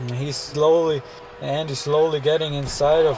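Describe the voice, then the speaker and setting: Over noticeable background noise, a man speaks at a moderate pace. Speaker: wrestling game commentator. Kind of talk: live commentary. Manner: halting, stumbles over words.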